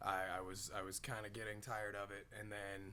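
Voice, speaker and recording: A man talks at a fairly quick pace in a fairly low pitch, his bright, sharp tone held to a flat monotone, with audible room echo. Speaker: cosplayer at a convention. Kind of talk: casual interview chat.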